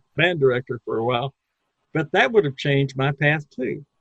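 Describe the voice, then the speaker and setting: Somewhat breathy, a man speaks at a fairly high pitch. His pitch varies in an ordinary way. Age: 70s. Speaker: entrepreneur and marketing consultant. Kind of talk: interview.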